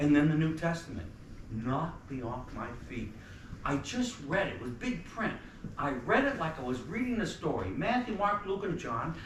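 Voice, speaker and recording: A man with an American accent at a moderate pace, very wide pitch swings and audible room echo. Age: 70s. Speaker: activist speaker, former priest. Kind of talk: talk to students. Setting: college lecture audience. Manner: animated.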